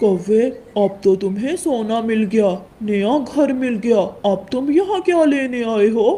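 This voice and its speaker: This is a cartoonish character voice that sounds female. It is fairly high in pitch and goes at a fairly slow pace. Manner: calm, grand.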